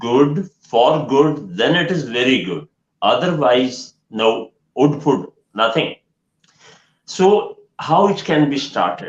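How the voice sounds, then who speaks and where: With a Pakistani accent, a man speaks at a very slow pace. His fairly high voice has lively intonation. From Pakistan, Punjab. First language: Punjabi or Urdu. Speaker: education trainer and counsellor. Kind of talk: online live Q&A session. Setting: online live stream.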